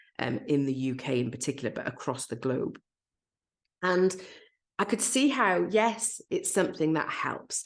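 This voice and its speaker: A woman speaks at a fairly low pitch with very wide swings. She leaves long pauses, and often. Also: moderate pace. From Wales. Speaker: podcast host and business coach. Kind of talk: solo podcast monologue. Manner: casual, with fillers.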